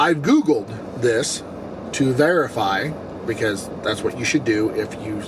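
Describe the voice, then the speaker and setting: A man speaks at a fairly slow pace. Noticeable background noise runs through the clip. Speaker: gaming YouTuber. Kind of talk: casual vlog talk to camera.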